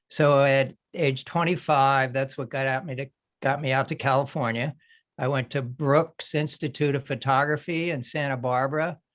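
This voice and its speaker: A man with an American accent speaks at a moderate pace in a monotone, flat intonation, his pitch fairly high, against a quiet background. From Philadelphia area, US. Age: 60s. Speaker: artist and retired photographer. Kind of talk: panel discussion.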